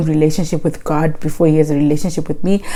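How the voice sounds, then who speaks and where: A woman talks at a very fast pace in an animated tone. Noticeable background noise runs underneath. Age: 20s. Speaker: vlogger. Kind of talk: casual monologue vlog.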